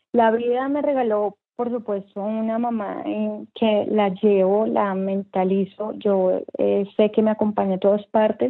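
A woman's ordinary speaking voice, fairly high in pitch, at a fairly slow pace with hardly any pauses and fairly even intonation. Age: 30s. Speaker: entrepreneur. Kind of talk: interview. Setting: remote interview from home.

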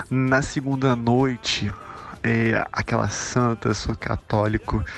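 Very slow speech with fairly even intonation and noticeable background noise. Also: man. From Macaé, Rio de Janeiro, Brazil. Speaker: festival fan. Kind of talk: personal testimony.

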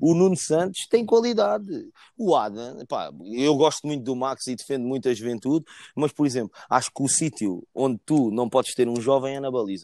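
A man with a European Portuguese accent speaks at medium pitch, his tone dark and mellow and his intonation lively. The sound is dry and close with no echo, on a very clean recording with a silent background. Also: moderate pace. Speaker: football fan. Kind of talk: casual chat.

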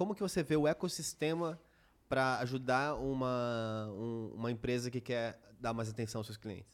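A man with a São Paulo accent speaks at a moderate pace and medium pitch with ordinary variation, in a very clean recording with a silent background. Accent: paulistano Brazilian Portuguese. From São Paulo city, Brazil. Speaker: podcast co-host.

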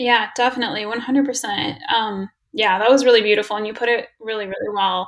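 A woman's ordinary speaking voice, fairly high in pitch, at a fairly quick pace with fairly even intonation. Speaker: student podcast host. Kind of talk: casual interview.

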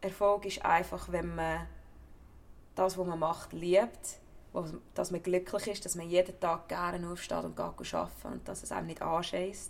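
A woman speaks with a Central Swiss accent. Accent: Nidwalden Swiss German dialect. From Switzerland, Nidwalden. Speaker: actor, former footballer. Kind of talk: interview.

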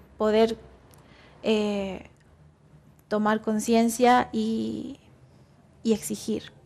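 Her voice fairly high in pitch, a woman speaks with monotone, flat intonation. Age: 20s. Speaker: climate activist volunteer. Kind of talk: interview. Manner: halting.

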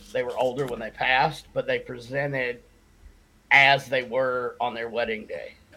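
A man with an Appalachian accent speaks in a bright, sharp tone. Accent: Southern US (Appalachian). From US South, western North Carolina. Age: 40s. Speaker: shaman and paranormal investigator, Marine veteran. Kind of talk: casual chat. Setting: video call.

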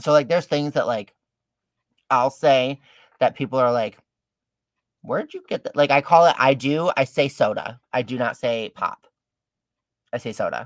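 With a Michigan accent and a fairly high pitch, a man talks at a moderate pace with ordinary pitch variation and long, frequent pauses, recorded dry and close with no echo. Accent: Michigan, general American. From Detroit, Michigan. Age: 30s. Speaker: drag queen. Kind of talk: casual interview chat. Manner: animated, jokey.

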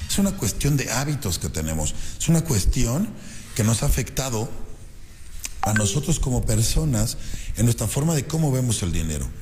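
Audible room echo and noticeable background noise surround a man talking at a fairly quick pace. His tone is animated, with very wide pitch swings. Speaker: radio host and business coach. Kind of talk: motivational radio talk. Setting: radio studio.

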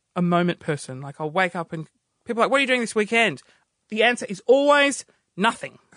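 With an Australian accent, a man raises and projects his high-pitched voice, his intonation lively and his tone animated, bright and sharp, in a dry, close sound with no echo. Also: long, frequent pauses. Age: 30s. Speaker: radio producer and comedian. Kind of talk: casual chat.

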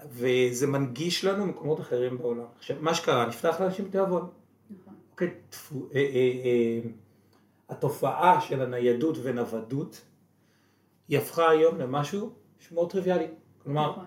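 A man's fairly high voice at a moderate pace, with ordinary pitch variation, long, frequent pauses and big swings in loudness. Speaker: podcast co-host, real estate entrepreneur. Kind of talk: casual interview. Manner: quieter than usual.

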